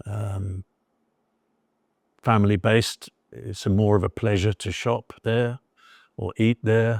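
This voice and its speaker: A man with a fairly low pitch talks at a very slow pace in a monotone, flat intonation with long, frequent pauses, in a very clean recording with a silent background and a dry, close sound with no echo. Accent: southern English. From southern England. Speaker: expat storyteller. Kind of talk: interview. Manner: halting, many fillers and repetitions.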